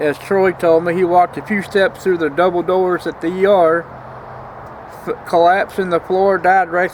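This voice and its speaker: With an American accent, a man talks at a fairly quick pace in a high pitch with monotone, flat intonation, against noticeable background noise. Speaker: vlogger. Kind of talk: casual vlog monologue. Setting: outdoors.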